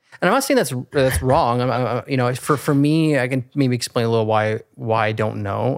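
A man speaks at a fairly quick pace with hardly any pauses. His medium pitch shows ordinary pitch variation. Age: 30s. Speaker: realtor. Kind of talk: casual interview chat. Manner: halting.

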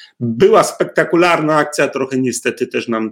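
The speaker is a man. His pace is moderate. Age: 50s. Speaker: lawyer. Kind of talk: interview.

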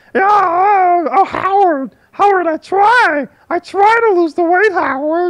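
In a put-on character voice, the speaker squeaks along at an extremely high pitch and a fairly slow pace. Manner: slow, wheezy, apologetic.

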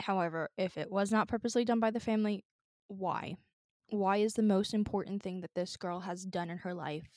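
Dry and close with no echo, the speech comes at a fairly quick pace. It is an unremarkable speaking voice with fairly even intonation. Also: woman. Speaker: podcast co-host. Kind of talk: casual chat. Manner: casual, laughs often.

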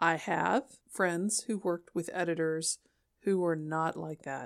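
The recording is very clean, with a silent background. A woman with an ordinary speaking voice talks fairly slowly, fairly low in pitch, with fairly even intonation. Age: 50s. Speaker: podcast host and published author. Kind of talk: solo podcast monologue. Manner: casual, conversational.

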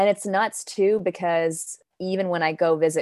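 A woman with fairly low pitch and fairly even intonation speaks in an ordinary speaking voice, recorded very cleanly with a silent background and a dry, close sound with no echo. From Denmark, now New York. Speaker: poet and actor. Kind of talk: poetry reading and casual interview.

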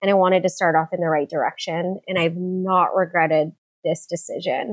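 Moderately paced, a woman with an American accent speaks at a medium pitch with fairly even intonation. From San Diego, California. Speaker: dentist and practice owner. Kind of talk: interview.

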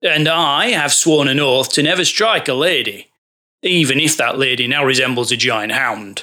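Using a put-on character voice, a man speaks raspily at a moderate pace, with medium pitch, ordinary pitch variation and very even loudness. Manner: blustering, dismissive.

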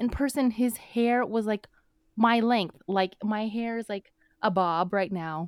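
An unremarkable speaking voice moves at a fairly slow pace with ordinary pitch variation. The sound is dry and close, with no echo. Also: woman, fairly high pitch for a woman. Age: 30s. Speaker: podcast co-host. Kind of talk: casual chat.

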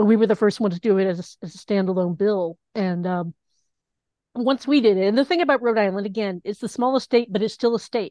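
Talking at a very fast pace, a woman with an American accent uses a medium pitch and ordinary pitch variation. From US South, Knoxville, Tennessee. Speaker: LGBTQ activist and volunteer genealogy searcher. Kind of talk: interview storytelling.

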